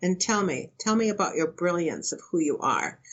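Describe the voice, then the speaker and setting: This is an unremarkable speaking voice. It moves at a moderate pace with lively intonation. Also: woman. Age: 60s. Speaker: spiritual teacher and counselor. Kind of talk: interview.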